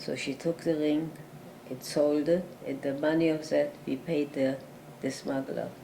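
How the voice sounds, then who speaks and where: A woman with a very deep, low voice and a dark, mellow tone speaks at a fairly slow pace in a monotone, flat delivery. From Germany (Berlin). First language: German. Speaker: Holocaust survivor. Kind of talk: interview answer.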